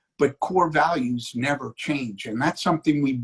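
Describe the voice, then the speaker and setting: In a dry, close sound with no echo, a man speaks at a moderate pace and medium pitch, somewhat breathy, with ordinary pitch variation. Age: 60s. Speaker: city commission candidate. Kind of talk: political interview.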